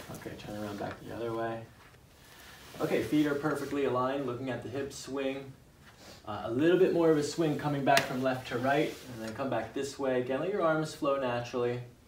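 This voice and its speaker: Against noticeable background noise, a man talks at a fairly quick pace with ordinary pitch variation. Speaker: chiropractor. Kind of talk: clinical instruction and commentary. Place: office. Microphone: camera far.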